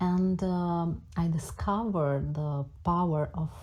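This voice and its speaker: With a Romanian accent, a woman speaks very slowly at a very deep, low pitch, somewhat breathy and with a dark, mellow tone and fairly even intonation. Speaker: music teacher. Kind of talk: self-introduction. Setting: audio social app room. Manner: halting.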